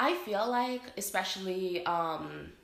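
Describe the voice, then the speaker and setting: A woman with an American accent talks in a fairly low pitch with lively intonation. Noticeable background noise and audible room echo fill the recording. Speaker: vlogger. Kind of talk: casual vlog talk to camera.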